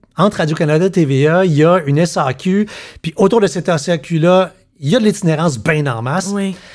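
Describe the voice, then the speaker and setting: Pitched high, a man talks at a moderate pace with lively intonation. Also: quiet background. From Quebec. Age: 50s. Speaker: podcast host. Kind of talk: casual chat; podcast conversation. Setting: home living room. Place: studio. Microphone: studio mic.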